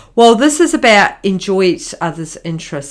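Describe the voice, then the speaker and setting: A woman speaks with a strong New Zealand accent and lively intonation. The recording is very clean, with a silent background. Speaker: marriage counsellor and podcast host. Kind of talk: podcast monologue. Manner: hesitant, many fillers.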